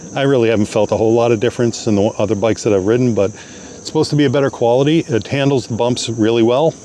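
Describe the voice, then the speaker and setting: A man talks at a very fast pace with a medium pitch and ordinary pitch variation. Noticeable background noise sits behind him. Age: 60s. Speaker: product reviewer. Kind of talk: product review tutorial. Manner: casual, with frequent fillers.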